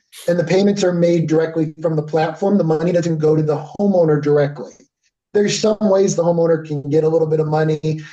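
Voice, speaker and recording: A man with an American accent speaks at a fairly quick pace, his fairly high pitch carrying a dark, mellow tone. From Connecticut. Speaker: company representative presenting a service. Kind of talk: business presentation with Q&A. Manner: fast.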